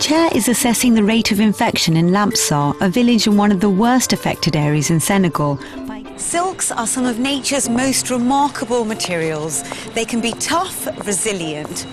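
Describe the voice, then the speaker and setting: Over music in the background, a woman speaks at a moderate pace with very wide pitch swings. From London, England. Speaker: TV presenter and reporter. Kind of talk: science and travel reporting.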